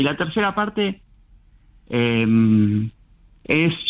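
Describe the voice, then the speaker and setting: A man talks very slowly. His voice sits at a medium pitch. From Argentina, Buenos Aires southern suburbs (Lanús). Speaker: novelist. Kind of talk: radio interview. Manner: halting, many fillers.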